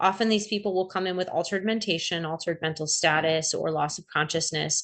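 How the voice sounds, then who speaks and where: At a very fast pace, a woman speaks at a fairly low pitch with fairly even intonation. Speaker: emergency medicine physician presenting. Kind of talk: lecture.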